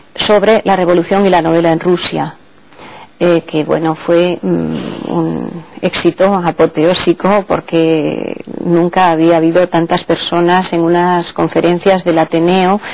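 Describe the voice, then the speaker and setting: Over noticeable background noise, a woman speaks at a fairly slow pace with a fairly low pitch, monotone, flat intonation, and very even loudness. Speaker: literature professor. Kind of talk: interview answer.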